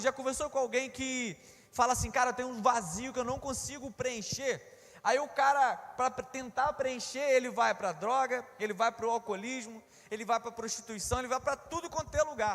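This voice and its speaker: A man talks in an extremely high pitch with an animated tone. His pace is moderate. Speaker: preacher. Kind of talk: sermon.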